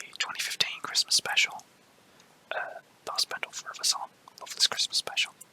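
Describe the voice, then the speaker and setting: A man whispers at a fairly quick pace with long, frequent pauses and big swings in loudness, the sound dry and close with no echo against noticeable background noise. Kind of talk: ASMR whispered talk about a personal collection. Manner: whispered, soft.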